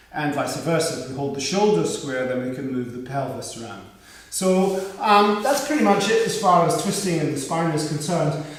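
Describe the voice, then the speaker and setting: A man's high voice with lively intonation at a moderate pace, amid audible room echo and noticeable background noise. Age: 60s. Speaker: yoga teacher. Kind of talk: guided yoga class. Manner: halting.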